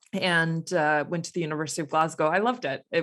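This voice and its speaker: On a very clean recording with a silent background, someone with an American accent talks at a fairly quick pace and with fairly even intonation. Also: woman. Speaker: astrophysicist and science consultant. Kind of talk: interview conversation.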